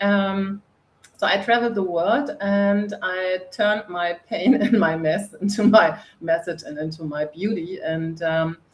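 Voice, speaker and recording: A woman speaks with a German accent at a fairly slow pace. Her pitch is medium, with ordinary variation. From northern Germany. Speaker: coach and author. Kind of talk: interview.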